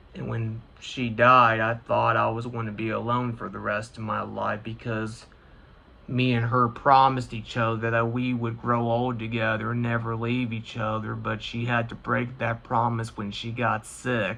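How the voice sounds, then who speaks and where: In an American accent, a man talks at a moderate pace and medium pitch. His intonation is monotone and flat. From US Midwest, Indiana. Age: 20s. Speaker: gaming YouTuber. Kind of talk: personal vlog monologue. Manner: halting.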